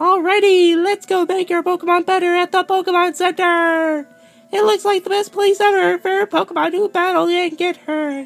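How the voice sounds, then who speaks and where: A put-on character voice at an extremely high pitch and moderate pace, with faint music in the background. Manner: silly, exaggerated, upbeat.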